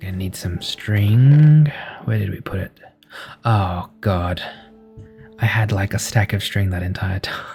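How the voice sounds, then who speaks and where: A soft-spoken man with a gentle tone and fairly low pitch, at a fairly slow pace with long, frequent pauses and music in the background. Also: ordinary pitch variation. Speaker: sound engineer. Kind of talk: sleep gameplay commentary. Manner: soft-spoken, gentle.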